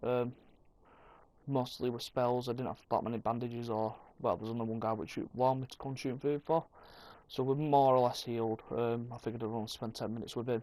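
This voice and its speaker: A man with a medium pitch talks at a very fast pace with fairly even intonation and a dark, mellow tone. The recording is very clean, with a silent background. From Yorkshire, northern England. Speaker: gaming video creator. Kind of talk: gameplay commentary. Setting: playing in bed.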